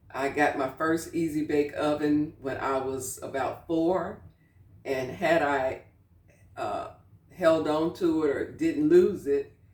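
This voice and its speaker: Very slowly, a woman speaks in a very deep, low pitch with fairly even intonation. Noticeable background noise can be heard. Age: 60s. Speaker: cooking channel host. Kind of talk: casual cooking tutorial. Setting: home kitchen. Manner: conversational, with frequent fillers.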